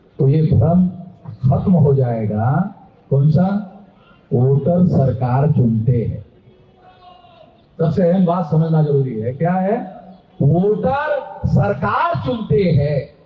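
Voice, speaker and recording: A man with a fairly high pitch talks with lively intonation and long, frequent pauses. The room echo is audible and the background noise is noticeable. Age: 60s. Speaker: political activist. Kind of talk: political speech. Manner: animated.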